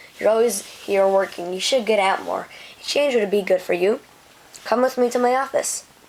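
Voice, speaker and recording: A woman uses a put-on character voice, raspy and fairly high in pitch. She keeps a moderate pace. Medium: read story. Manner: loud, easygoing.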